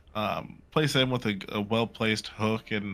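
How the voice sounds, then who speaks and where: Music plays in the background behind a man. He speaks in a fairly low pitch with fairly even intonation. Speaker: esports caster. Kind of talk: live commentary. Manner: quiet, talking little.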